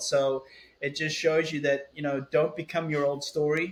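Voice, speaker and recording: A man with an American accent speaks at a fairly high pitch. His intonation is monotone and flat. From South Africa. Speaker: author and keynote speaker. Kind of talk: interview conversation. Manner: halting, many fillers and repetitions.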